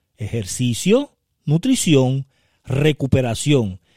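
In a very clean recording with a silent background and a dry, close sound with no echo, a man with a fairly high pitch and a dark, mellow tone speaks at a very slow pace through very wide pitch swings. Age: 50s. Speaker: podcast host, network marketing mentor. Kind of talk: motivational solo podcast talk.

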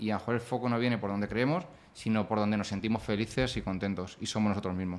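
Very fast delivery with ordinary pitch movement and very even loudness. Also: man, fairly low pitch for a man. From Spain, Ciudad Real. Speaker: entrepreneur and author. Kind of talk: casual interview. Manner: halting, repeats words.

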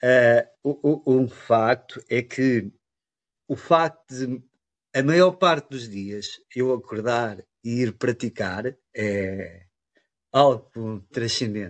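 A man delivers his words very slowly. The sound is close and dry, without any echo. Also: medium pitch for a man, ordinary pitch variation, quiet background. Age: 50s. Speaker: chi kung student. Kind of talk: interview. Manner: halting.

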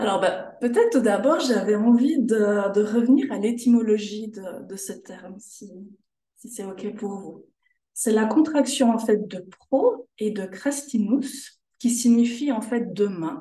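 Somewhat breathy and dark, mellow in tone, a woman with a Swiss accent and a fairly high pitch speaks at a very slow pace with ordinary pitch variation, big swings in loudness and audible room echo. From Switzerland, canton of Jura. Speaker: sophrologist. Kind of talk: interview.

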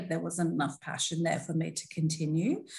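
A somewhat breathy woman is heard with audible room echo. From Australia, Melbourne. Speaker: diversity and inclusion specialist. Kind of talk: interview conversation.

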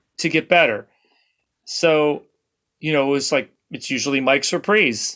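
A bright, sharp voice with an American accent at a fairly slow pace, with ordinary pitch variation and a very clean recording over a silent background. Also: man, fairly high pitch for a man. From southern California. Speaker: session drummer. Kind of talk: casual chat.

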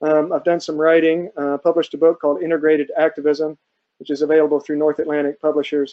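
At a fairly quick pace, a man with a fairly high pitch and an American accent speaks with little pitch movement.

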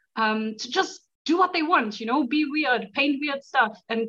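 With an excited, fairly bright tone, the voice moves at a fairly slow pace with ordinary pitch variation. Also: woman.

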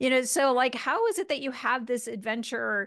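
Over a quiet background, a woman speaks in an enthusiastic tone with vocal fry and ordinary pitch variation. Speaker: podcast host. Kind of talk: interview.

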